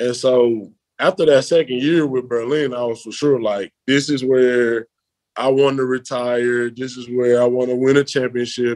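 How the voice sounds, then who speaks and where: A man in a Memphis accent, at a moderate pace with fairly even intonation. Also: medium pitch for a man. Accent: Southern US (Memphis) English. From Memphis, US South. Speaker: American football player. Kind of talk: interview.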